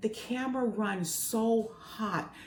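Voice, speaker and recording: An animated woman speaks at a fairly high pitch. Noticeable background noise sits under her voice. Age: 60s. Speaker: retirement travel vlogger. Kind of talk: casual vlog, camera review.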